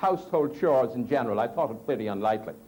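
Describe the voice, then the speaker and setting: In an Irish accent, a man's voice swings very widely in pitch amid noticeable background noise. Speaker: Toastmasters speaker. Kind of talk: humorous contest speech.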